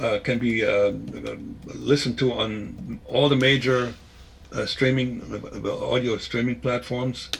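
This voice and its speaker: Over noticeable background noise, a man at a medium pitch talks at a fairly slow pace with fairly even intonation. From Germany (East Germany). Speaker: former spy and author. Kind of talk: interview. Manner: halting, many repetitions.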